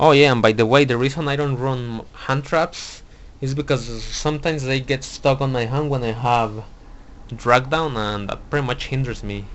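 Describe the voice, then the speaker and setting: A man with a non-native accent speaks at a moderate pace and medium pitch, with fairly even intonation. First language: not English. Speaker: card game YouTuber. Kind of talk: deck profile tutorial. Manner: halting, many fillers and restarts.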